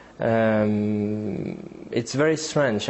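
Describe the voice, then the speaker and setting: A man speaks with a French accent. His pitch varies in an ordinary way. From France. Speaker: geopolitics analyst. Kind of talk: interview. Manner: halting.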